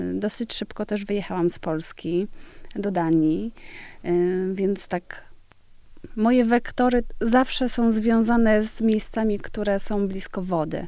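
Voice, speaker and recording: A woman speaks very slowly in a dark, mellow, medium-pitched voice with ordinary pitch variation. The recording is very clean, with a silent background. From Poland, West Pomerania (Świdwin). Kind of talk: interview conversation.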